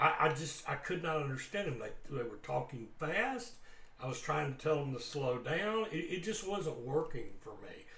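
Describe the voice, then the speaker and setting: With a Southern US accent, a man with a fairly high voice speaks in lively intonation, and audible room echo surrounds him. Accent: Southern US drawl. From US South. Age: old. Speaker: guitar teacher. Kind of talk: casual talk to camera. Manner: halting, many repeated words.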